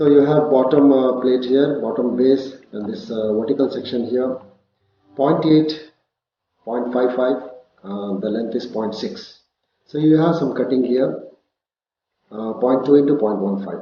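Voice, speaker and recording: Speaking slowly with long, frequent pauses, a man at a medium pitch uses ordinary pitch variation, with audible room echo. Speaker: CAD instructor. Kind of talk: tutorial.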